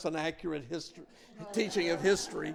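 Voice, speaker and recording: Spoken with a Southern US accent, the voice shows ordinary pitch variation. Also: man. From US South, Mobile, Alabama. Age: 60s. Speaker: lay speaker. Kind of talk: sermon.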